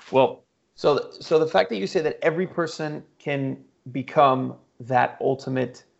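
With an unremarkable speaking voice, this man uses a fairly high pitch, ordinary pitch variation and a moderate pace. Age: 30s. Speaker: podcast host and supercar dealer. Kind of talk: casual chat.

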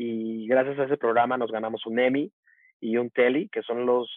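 A man uses an ordinary speaking voice at medium pitch with fairly even intonation. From Mexico, Veracruz port and Tuxtepec, Oaxaca. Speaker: media professional and speaker. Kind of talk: interview conversation.

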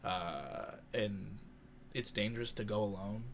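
A man speaks at a very slow pace with a fairly low pitch. The room gives audible echo. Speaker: podcast co-host. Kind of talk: casual chat.

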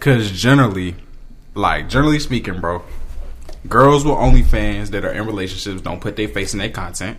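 Fairly quick speech with lively intonation and big swings in loudness, plus audible room echo and noticeable background noise. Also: man, fairly low pitch for a man. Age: 20s. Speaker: college student. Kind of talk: casual chat.

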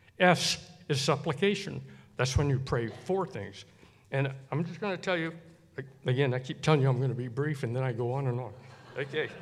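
Its pitch moves up and down in an ordinary way. The voice carries some breathiness. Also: man. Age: 70s. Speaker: church member and keyboard player. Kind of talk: testimony. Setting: church service with congregation. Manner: halting, with false starts.

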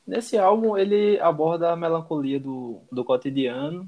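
Using an unremarkable speaking voice, a man talks at a moderate pace with lively intonation. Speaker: podcast co-host. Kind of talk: casual chat with prepared notes.

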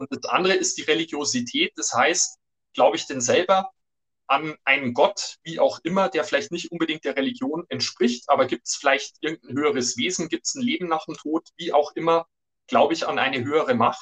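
At a fairly quick pace, a man speaks with a dry, close sound and no echo. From Germany, Upper Palatinate (Bavaria). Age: 50s. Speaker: business journalist and author. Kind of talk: interview.

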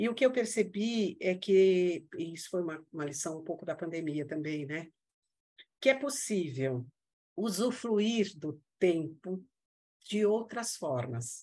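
A woman's dark, mellow voice at a very slow pace with very wide pitch swings. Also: fairly low pitch for a woman. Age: 60s. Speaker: integrative therapist. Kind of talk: casual interview chat. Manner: halting, many fillers and repetitions.

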